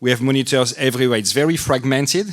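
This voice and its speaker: A man talks with a French accent. His pace is very fast. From France. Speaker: anesthesiologist, department chair. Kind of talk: panel discussion.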